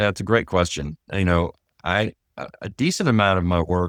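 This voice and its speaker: A man with a Texan accent and a very deep, low pitch, talking at a fairly quick pace with ordinary pitch variation, on a very clean, silent recording with a dry, close sound and no echo. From Texas. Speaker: trust and estate litigation lawyer. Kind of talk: interview.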